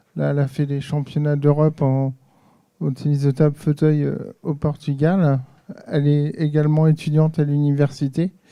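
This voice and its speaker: This man has a fairly high pitch and a dark, mellow tone. He talks at a moderate pace with monotone, flat intonation. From Normandy, France (Le Havre). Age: 40s. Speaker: audience member at a conference, table tennis referee. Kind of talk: audience contribution at a round-table conference. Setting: conference hall with audience, handheld mic. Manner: hesitant, many fillers.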